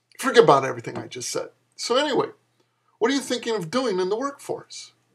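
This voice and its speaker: A man rattles along at a very fast pace, with a quiet background. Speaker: author reading own fiction. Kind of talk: comedic flash fiction reading with dialogue. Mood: sarcastic, lecturing tone. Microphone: webcam.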